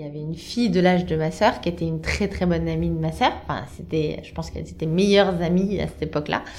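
A woman at a very fast pace, hardly any pauses, big swings in loudness, and noticeable background noise. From central France, Blois. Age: 30s. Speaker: communications worker. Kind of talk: personal testimony. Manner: casual with frequent hesitations.

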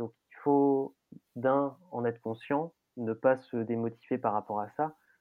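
A man at medium pitch, with fairly even intonation and a very slow pace. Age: 30s. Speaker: festival production administrator. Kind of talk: interview. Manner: hesitant, many fillers and repetitions.

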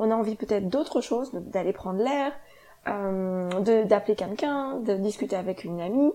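A dark, mellow tone with ordinary pitch variation. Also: woman, medium pitch for a woman, moderate pace. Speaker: yoga teacher and podcast host. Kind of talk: solo podcast monologue.

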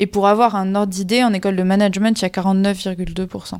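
A woman's medium-pitched voice, dark and mellow in tone, monotone and flat, on a very clean recording with a silent background. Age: 20s. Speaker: engineering student. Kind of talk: interview. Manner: hesitant, many fillers.

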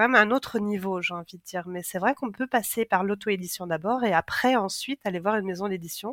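A woman's normal speaking voice at a medium pitch, with ordinary pitch variation, a fairly quick pace and hardly any pauses, on a very clean recording with a silent background and a dry, close sound with no echo. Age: 40s. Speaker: book writing coach and co-author. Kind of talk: interview conversation.

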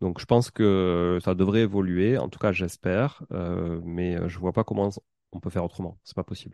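In a Toulouse accent, a man talks at a moderate pace with a very deep, low pitch, a dark, mellow tone and fairly even intonation. The sound is dry and close with no echo against a quiet background, and his loudness swings widely. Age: 30s. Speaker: podcast host and property investor. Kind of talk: casual interview.

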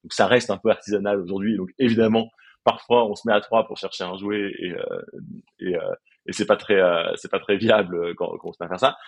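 Fairly low in pitch, a man speaks at a moderate pace with fairly even intonation. His loudness swings widely. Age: 30s. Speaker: startup co-founder. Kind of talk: interview. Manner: halting, many repetitions.

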